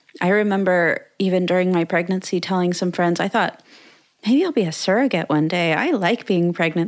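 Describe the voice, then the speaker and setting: A woman talks with an unremarkable speaking voice, her medium pitch showing ordinary variation at a moderate pace. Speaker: podcast host and content creator. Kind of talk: casual interview chat.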